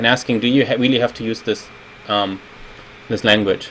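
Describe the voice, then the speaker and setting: Against noticeable background noise, a man talks with ordinary pitch variation. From Germany. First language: German. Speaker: game designer. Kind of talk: video retrospective commentary. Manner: casual, with frequent fillers.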